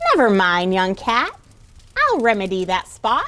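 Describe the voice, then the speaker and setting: A woman uses a put-on character voice, cackling. Her pitch is medium and her pace moderate. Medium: read story.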